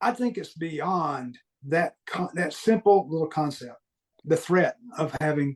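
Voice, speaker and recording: A man with a slight Southern US accent speaks fairly slowly at a fairly high pitch with ordinary pitch variation, the sound dry and close with no echo. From US Deep South. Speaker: guest sharing paranormal experiences. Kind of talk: podcast interview.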